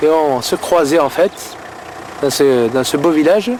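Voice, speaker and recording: The voice has ordinary pitch variation, with noticeable background noise behind it. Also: man. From France, Marseille. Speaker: businessman and documentary subject. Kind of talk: documentary conversation.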